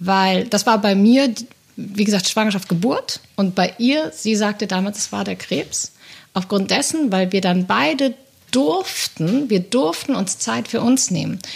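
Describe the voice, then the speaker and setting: A woman's somewhat breathy, medium-pitched voice at a fairly slow pace, with lively intonation. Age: 30s. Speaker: agency employee. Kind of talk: casual chat.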